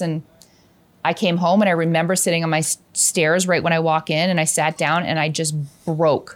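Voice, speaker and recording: A woman with an Ontario accent speaks at a moderate pace and a fairly low pitch with fairly even intonation, in a very clean recording with a silent background. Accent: Canadian (Ontario). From Hamilton, Ontario, Canada. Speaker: real estate agent. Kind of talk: casual chat.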